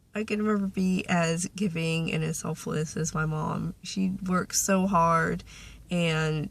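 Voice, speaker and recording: A fairly low-pitched, somewhat breathy woman's voice in a flat monotone, on a very clean recording with a silent background. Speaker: vlogger. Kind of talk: casual chat.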